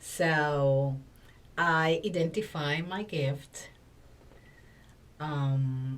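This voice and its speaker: A woman speaks with a Spanish accent in a very deep, low pitch, her voice somewhat breathy. Her pitch varies in an ordinary way, and audible room echo fills the space. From Dominican Republic. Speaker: communication coach and former TV presenter. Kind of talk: podcast interview. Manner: halting, frequent fillers.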